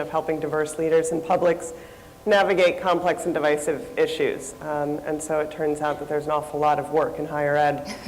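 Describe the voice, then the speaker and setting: Speech comes at a moderate pace with audible room echo and noticeable background noise. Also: woman. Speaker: nonprofit researcher. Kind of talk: conference panel talk. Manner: loud.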